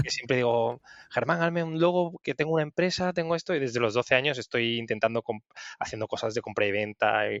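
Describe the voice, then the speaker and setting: This man talks at a very fast pace with lively intonation. His pitch is medium. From Andalusia, Cádiz (Sanlúcar de Barrameda). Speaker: hotel revenue manager. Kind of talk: interview conversation. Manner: halting, many self-corrections.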